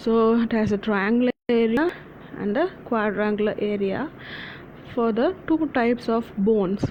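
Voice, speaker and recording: A woman's fairly high voice at a moderate pace, with ordinary pitch variation, very even loudness and noticeable background noise. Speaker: anatomy tutor. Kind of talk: lecture. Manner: halting, many fillers.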